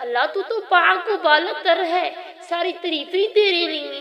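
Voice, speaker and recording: With audible room echo and noticeable background noise, a woman talks in a raised, projected voice with lively intonation. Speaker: religious teacher. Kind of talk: lecture.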